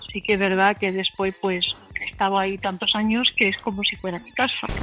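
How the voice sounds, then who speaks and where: Noticeable background noise runs under a woman speaking at a fairly quick pace in a monotone, flat intonation. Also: medium pitch for a woman. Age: 80s+. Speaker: volunteer at a soup kitchen. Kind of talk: interview testimony. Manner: hesitant, with fillers.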